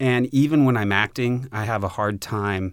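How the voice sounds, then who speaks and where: This man has a normal speaking voice at a medium pitch, with ordinary pitch variation. The recording is very clean, its background silent. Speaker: filmmaker and producer. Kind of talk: casual chat.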